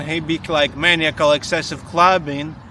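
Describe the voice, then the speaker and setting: Over noticeable background noise, a man with a fairly high pitch speaks fairly slowly with fairly even intonation. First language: not English. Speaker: iOS developer, podcast co-host. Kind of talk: casual chat. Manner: halting.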